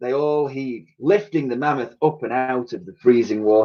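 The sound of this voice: In an unforced reading voice, the speaker moves through ordinary pitch variation.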